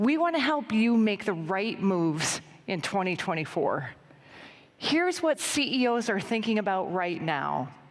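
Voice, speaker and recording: A woman speaks at a moderate pace and medium pitch, her pitch swinging very widely. Audible room echo surrounds her voice. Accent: American. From US, Denver Colorado. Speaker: business analyst presenting survey research. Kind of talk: conference presentation.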